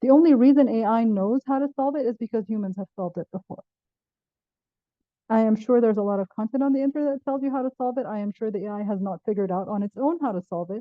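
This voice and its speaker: A woman talks at a very fast pace. Her fairly high pitch varies in an ordinary way. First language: Arabic. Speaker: professor. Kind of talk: panel discussion.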